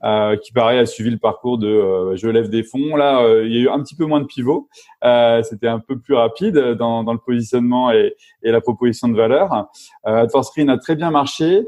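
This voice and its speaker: A man's medium-pitched voice moves at a moderate pace with ordinary pitch variation. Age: 40s. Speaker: venture capital operating partner and serial entrepreneur. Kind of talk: interview. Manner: halting.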